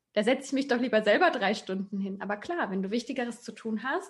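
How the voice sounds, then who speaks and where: Speaking at a moderate pace, a woman has a somewhat breathy voice with a fairly high pitch. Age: 20s. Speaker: digital nomad and self-employed coach. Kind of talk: interview.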